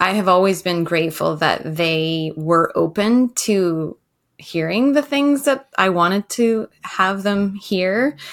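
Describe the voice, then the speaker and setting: Here a woman with a plain, everyday voice speaks at a fairly slow pace, at a medium pitch, with lively intonation. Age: 40s. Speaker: life coach. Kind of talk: casual interview.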